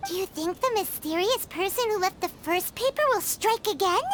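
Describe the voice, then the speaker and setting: This is a put-on character voice with an extremely high pitch, delivered at a moderate pace. Clear background noise sits behind it. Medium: video game. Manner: bossy, excitable.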